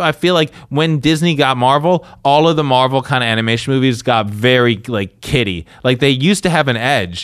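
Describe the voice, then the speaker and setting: An unremarkable speaking voice with lively intonation. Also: man. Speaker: podcast co-host. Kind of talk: casual banter, comedy podcast.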